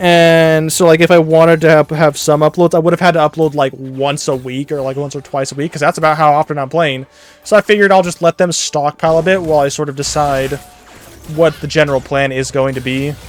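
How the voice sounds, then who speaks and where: A man's fairly high voice at a very fast pace with fairly even intonation, dry and close with no echo, over noticeable background noise. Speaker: gaming YouTuber. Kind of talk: casual gameplay commentary. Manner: varies between quiet and loud; rambling, hesitant with many fillers. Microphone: volume peaks when loud, quiet when soft.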